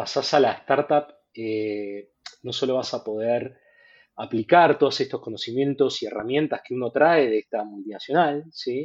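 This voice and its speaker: A man speaks at a moderate pace. His medium-pitched voice shows ordinary pitch variation. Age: 40s. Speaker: fintech product executive. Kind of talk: casual interview. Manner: halting, many repetitions.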